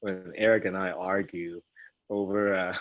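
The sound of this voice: A man speaks at a fairly slow pace in a low pitch, his voice showing little pitch movement.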